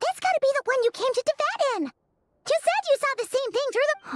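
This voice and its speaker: A put-on character voice, squeaky and extremely high in pitch. It moves at a fairly quick pace. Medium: video game. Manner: chirpy, lively.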